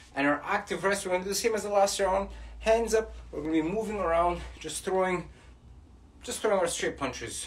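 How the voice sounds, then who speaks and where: Here a man talks at a high pitch and a fairly quick pace. His intonation is lively. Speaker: boxing fitness coach. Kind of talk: workout instruction. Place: home room. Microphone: camera far.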